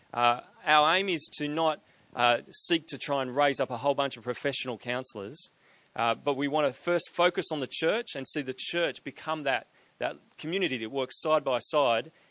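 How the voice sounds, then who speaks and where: Against a quiet background, a man with an Australian accent talks at a fairly quick pace in a fairly high pitch, his tone bright and sharp and his pitch varying in an ordinary way. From Australia, Sydney. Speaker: ministry director, event organizer. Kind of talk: event hosting and announcements.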